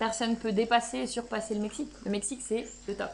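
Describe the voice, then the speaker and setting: Animated in tone, a woman talks at a fairly quick pace. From Belgium. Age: 20s. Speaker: travel vlogger. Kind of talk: casual vlog talk.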